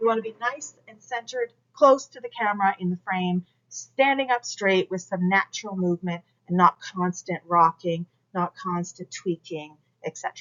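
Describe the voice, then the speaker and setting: With a normal speaking voice, a woman talks at a moderate pace, her intonation lively and her loudness swinging widely. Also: medium pitch for a woman. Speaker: college instructor. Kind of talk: recorded lecture.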